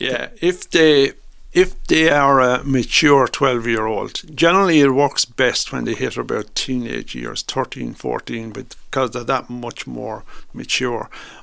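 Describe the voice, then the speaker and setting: A man with an Irish accent talks at a fairly slow pace. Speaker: stuttering awareness campaigner. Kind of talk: radio interview. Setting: studio.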